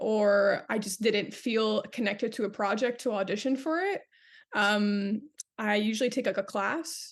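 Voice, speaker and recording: A woman speaks in a Canadian accent with a fairly high pitch and ordinary pitch variation. It is an ordinary speaking voice, heard over a quiet background. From Canada. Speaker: actress. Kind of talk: interview answer.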